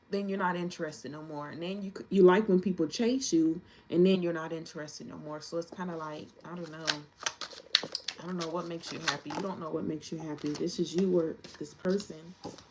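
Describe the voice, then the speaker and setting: Against noticeable background noise, a woman with a fairly low pitch speaks at a fairly quick pace, her pitch varying in an ordinary way and her loudness swinging widely. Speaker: tarot reader. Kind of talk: tarot reading. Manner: fast; casual.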